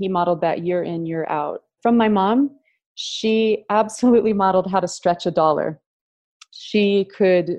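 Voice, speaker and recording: A woman with a normal speaking voice and an American accent speaks at a moderate pace, fairly low in pitch, with fairly even intonation. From US Pacific Northwest. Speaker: wealth and values consultant, former opera singer. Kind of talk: interview.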